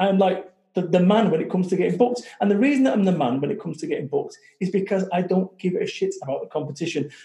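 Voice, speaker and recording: With a Manchester accent, a man with a high voice speaks with very wide pitch swings. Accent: Mancunian northern English. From Salford, Manchester, northern England. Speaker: motivational speaker and business founder. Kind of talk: interview. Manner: animated.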